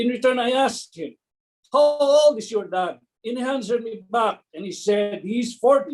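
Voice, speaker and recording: A man with an extremely high pitch speaks at a moderate pace, his intonation lively. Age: 60s. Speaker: network marketing distributor. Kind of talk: testimony.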